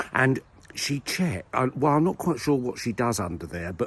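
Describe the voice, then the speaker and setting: A man with a Southern English accent speaks at a moderate pace. His voice is somewhat breathy, with lively intonation. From Southern England. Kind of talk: casual comedic talk to camera while walking. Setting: outdoors. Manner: rambling, whimsical.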